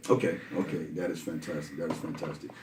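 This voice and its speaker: Noticeable background noise runs through this clip. A man does the talking. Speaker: podcast host. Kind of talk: podcast interview, host questions.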